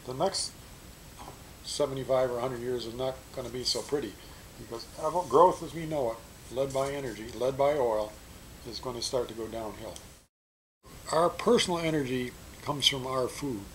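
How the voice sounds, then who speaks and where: A man talks at a moderate pace with long, frequent pauses and big swings in loudness. His medium-pitched voice is somewhat breathy, with ordinary pitch variation. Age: 70s. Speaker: energy educator and author. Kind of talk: explanatory talk to students.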